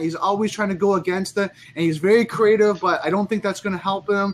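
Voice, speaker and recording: Over light background noise, a man talks at a fairly quick pace with a high pitch and fairly even intonation. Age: 40. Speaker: social media marketer; guest. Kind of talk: casual chat. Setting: video call. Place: home room. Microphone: video call.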